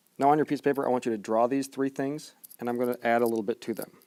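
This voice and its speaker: A man's medium-pitched voice has a dark, mellow tone. His intonation stays fairly even, in a dry, close sound with no echo. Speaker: math teacher. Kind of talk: tutorial. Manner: fast.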